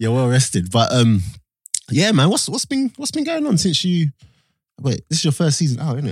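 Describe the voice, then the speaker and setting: A somewhat breathy man talks at a fairly quick pace with very wide pitch swings. He leaves long, frequent pauses, and the sound is dry and close with no echo. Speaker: podcast host. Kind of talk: casual chat. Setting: studio.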